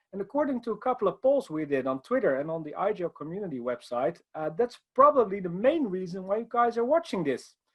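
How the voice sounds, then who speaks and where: A man with a Dutch accent, high-pitched, at a very fast pace with very wide pitch swings. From Netherlands. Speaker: IT consultant. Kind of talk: conference presentation.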